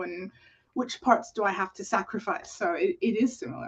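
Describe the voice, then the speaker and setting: Fairly high-pitched and somewhat breathy, a woman's voice at a moderate pace. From Canada. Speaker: musical content creator. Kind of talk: casual interview chat.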